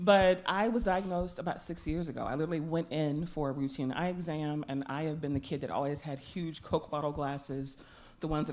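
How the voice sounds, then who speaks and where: This woman talks at a fairly quick pace with a very deep, low pitch. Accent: Louisiana. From Louisiana. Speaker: artist and patient panelist. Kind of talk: personal testimony.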